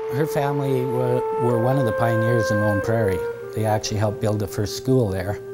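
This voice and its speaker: Loud music fills the background. Over it, a man speaks at a fairly quick pace. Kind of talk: interview answer. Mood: calm, somber. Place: hall.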